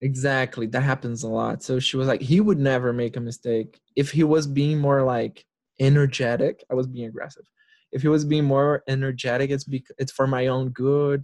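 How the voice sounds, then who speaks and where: With a Portuguese accent, a man speaks at a medium pitch and a moderate pace, his intonation fairly even. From Brazil, Brasilia. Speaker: therapist. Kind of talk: casual chat.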